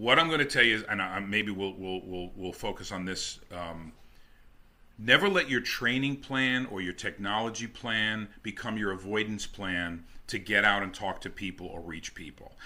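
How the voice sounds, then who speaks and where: A man with a New Jersey accent, fairly low in pitch, bright and sharp in tone, with ordinary pitch variation, big swings in loudness and a moderate pace. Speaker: network marketing top earner. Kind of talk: interview.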